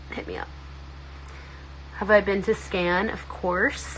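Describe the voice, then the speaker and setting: Noticeable background noise runs under the clip. A woman speaks at a moderate pace. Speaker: social media influencer. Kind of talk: casual chat. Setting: livestream. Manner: animated.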